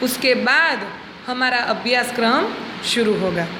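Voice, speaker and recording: With a Gujarati accent, a woman speaks at a high pitch and fairly even intonation, with audible room echo and noticeable background noise. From Gujarat, India. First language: Gujarati (speaking Hindi). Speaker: schoolteacher. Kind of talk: classroom lesson for children. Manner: slow, clear teaching pace.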